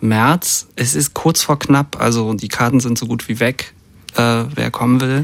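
Speaking at a fairly slow pace, the man uses a medium pitch and ordinary pitch variation. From East Germany, Brandenburg near Berlin. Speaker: musician and record producer. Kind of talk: radio interview. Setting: studio. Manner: halting, many fillers.

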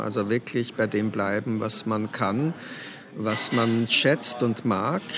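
A man at medium pitch with an Austrian accent and fairly even intonation, against noticeable background noise. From Austria, Weinviertel (Lower Austria). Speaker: novelist and poet. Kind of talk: interview. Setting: café.

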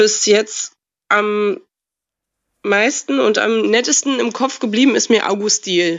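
A woman with a fairly high voice talks at a very slow pace, pausing long and often. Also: ordinary pitch variation. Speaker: caller.

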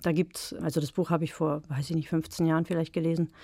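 A woman speaks with a dark, mellow tone at a fairly low pitch. Her intonation stays fairly even. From eastern Germany, Brandenburg. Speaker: novelist. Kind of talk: interview and reading aloud. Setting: radio studio.

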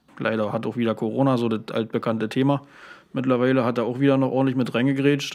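This man talks at a very fast pace. His medium-pitched delivery is monotone and flat. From Uckermark, Brandenburg. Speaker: volunteer fire brigade chief and paramedic. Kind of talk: casual interview.

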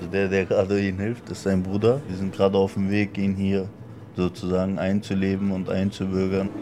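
Over noticeable background noise, a man speaks at a fairly low pitch in a monotone, flat intonation. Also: moderate pace. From Berlin. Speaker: interpreter for the shop owner. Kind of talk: interview.

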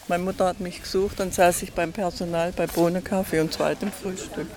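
A woman keeps a moderate pace while noticeable noise sounds in the background. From Berlin (Wannsee). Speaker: eyewitness, gardener's daughter. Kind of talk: casual conversation.

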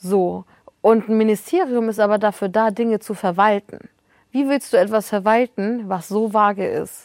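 A woman with an ordinary speaking voice talks at a moderate pace with a fairly high pitch. Her intonation is fairly even, and the sound is dry and close with no echo. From northern Germany. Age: 20s. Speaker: journalist and author. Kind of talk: casual chat.

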